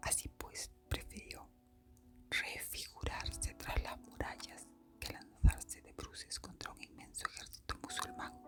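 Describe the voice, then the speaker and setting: Someone whispers at a fairly slow pace while music plays in the background. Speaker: ASMR storyteller. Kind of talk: history narration. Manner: whispered.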